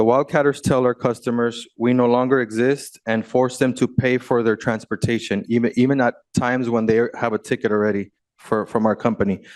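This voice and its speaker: An unremarkable speaking voice from a man, medium in pitch, at a fairly quick pace with fairly even intonation and very even loudness, in a dry, close sound with no echo over a quiet background. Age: 30s. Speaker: bus company owner, public commenter. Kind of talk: public comment at board meeting. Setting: public meeting podium.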